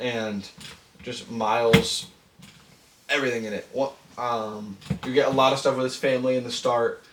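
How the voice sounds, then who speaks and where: Long, frequent pauses break up monotone, flat speech at a moderate pace, with big swings in loudness and noticeable background noise. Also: man, medium pitch for a man. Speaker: podcast co-host. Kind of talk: casual chat.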